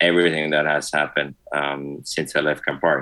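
A bright, sharp tone carries a monotone, flat delivery in an Italian accent. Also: man. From Italy. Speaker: spirits industry executive. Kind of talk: casual interview.

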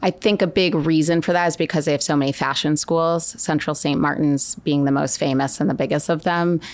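Speaking in an American accent at a fairly quick pace, a woman with a very deep, low pitch keeps her loudness very even, shows ordinary pitch variation and hardly pauses. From Connecticut, then Florence, Italy. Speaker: fashion director at a retailer. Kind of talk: casual interview.

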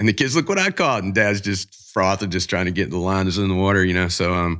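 A man with a Southern US accent speaks with a very deep, low pitch and a bright, sharp tone. The recording is very clean, with a silent background. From US South, Jacksonville, Florida. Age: 50s. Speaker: fishing charter captain and TV host. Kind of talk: casual interview.

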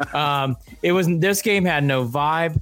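A man's fairly high voice, an unremarkable speaking voice with ordinary pitch variation. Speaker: sports podcast co-host. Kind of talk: casual sports talk show.

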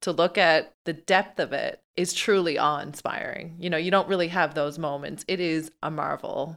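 A woman's ordinary speaking voice, fairly low in pitch with fairly even intonation, at a moderate pace with hardly any pauses, on a very clean recording with a silent background. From Newfoundland, Canada. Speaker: podcast co-host, ultracyclist and PR specialist. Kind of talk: casual interview chat.

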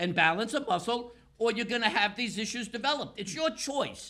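A man's raised, projected voice with a bright, sharp tone. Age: 60s. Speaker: pain specialist with physical therapy doctorate. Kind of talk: interview. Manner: animated.

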